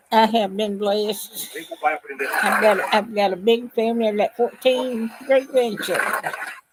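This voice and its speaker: Over noticeable background noise, a woman with a Southern US accent speaks fairly slowly at a fairly high pitch. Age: 80s+. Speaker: retired grandmother vlogger. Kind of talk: casual live stream chat. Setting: live stream at home. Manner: halting.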